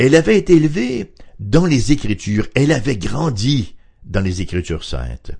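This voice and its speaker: A man speaks at medium pitch and a moderate pace, with vocal fry. His pitch swings very widely. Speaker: radio Bible teacher. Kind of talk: radio Bible study talk.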